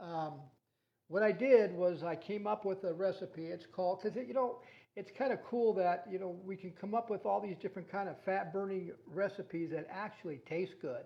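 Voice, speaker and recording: Speaking at a moderate pace, a man with a high-pitched voice uses ordinary pitch variation. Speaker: health coach. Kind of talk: casual video talk. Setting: at home. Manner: trying to keep voice down; gets loud when excited.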